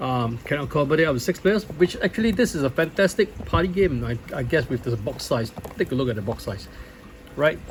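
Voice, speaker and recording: Fairly high for a man, a voice with lively intonation moves at a fairly quick pace, with background noise clearly noticeable. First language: not English. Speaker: board game reviewer. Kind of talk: unboxing video. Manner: halting, many fillers.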